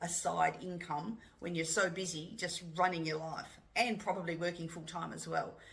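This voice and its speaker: A woman's fairly low-pitched voice with vocal fry. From Australia. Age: 60s. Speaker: UGC content creator. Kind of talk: casual talk to camera. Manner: down-to-earth, relatable.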